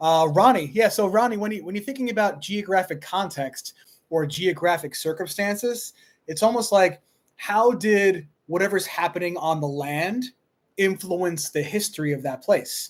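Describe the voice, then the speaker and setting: Here is a man with a Long Island accent. His pitch is high. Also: ordinary pitch variation. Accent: New York (Long Island). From Long Island, New York. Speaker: high school history teacher. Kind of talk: live stream Q&A. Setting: live stream on laptop. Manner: fast.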